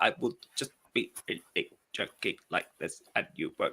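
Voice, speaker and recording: Putting on a robotic character voice, a man speaks at an extremely high pitch and a fairly slow pace. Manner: choppy, robotic, glitching.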